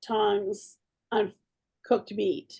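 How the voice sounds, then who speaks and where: This woman's voice sits fairly high in pitch. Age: 60s. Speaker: direct sales team leader. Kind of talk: casual team video meeting.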